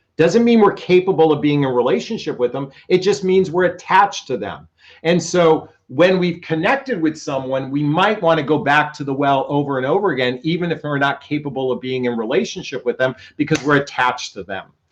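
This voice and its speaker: Speaking at a fairly quick pace, a man uses lively intonation in a fairly high voice. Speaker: relationship coach. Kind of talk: live stream talk. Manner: loud, yelling.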